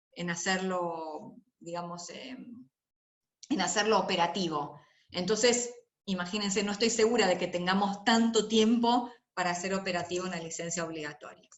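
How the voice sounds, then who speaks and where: With audible room echo, the voice moves at a moderate pace with ordinary pitch variation. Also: woman, medium pitch for a woman. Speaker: lecturer on intellectual property and health. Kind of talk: lecture.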